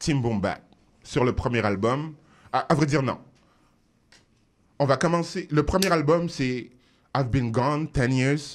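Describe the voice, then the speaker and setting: A man talks at a very slow pace with long, frequent pauses. His voice is fairly high and very even in loudness. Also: ordinary pitch variation. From France, Paris suburbs (Seine-Saint-Denis). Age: 40s. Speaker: rapper. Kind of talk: radio interview. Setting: radio studio. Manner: animated.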